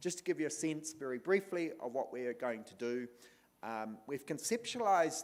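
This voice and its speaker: This man speaks with a New Zealand accent. His intonation is lively. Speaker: panel moderator. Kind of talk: panel moderation.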